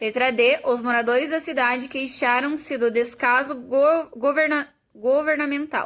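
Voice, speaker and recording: Keeping her loudness very even and her intonation fairly even, a woman speaks in a high pitch at a fairly slow pace. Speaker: teacher. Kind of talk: tutorial.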